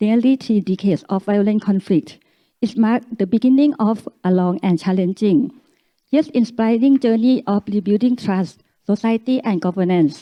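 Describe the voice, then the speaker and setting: With a Thai accent, a woman speaks at a moderate pace and a fairly high pitch, her pitch varying in an ordinary way and her loudness very even. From Thailand. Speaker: academic speaker. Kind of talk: reading aloud; conference talk. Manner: halting.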